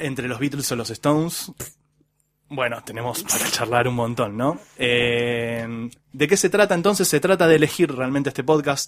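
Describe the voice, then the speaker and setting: An ordinary speaking voice from a man, medium in pitch, with ordinary pitch variation at a moderate pace. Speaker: podcast host. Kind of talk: casual chat.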